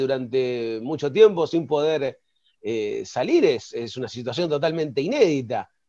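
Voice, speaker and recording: A man speaks with an Argentine accent. His pace is moderate. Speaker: radio co-host. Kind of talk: radio interview.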